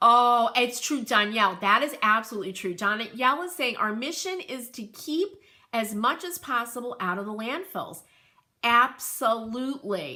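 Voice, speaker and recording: Bright and sharp in tone, a woman with a New England accent and fairly high pitch speaks at a moderate pace, animated and with lively intonation. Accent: New England twang. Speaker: crafter and home decor livestreamer. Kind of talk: casual livestream chat. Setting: live video stream.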